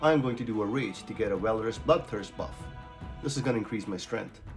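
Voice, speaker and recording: With lively intonation and a fairly quick pace, a man talks while music sounds in the background. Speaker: gaming guide creator. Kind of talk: game tutorial narration.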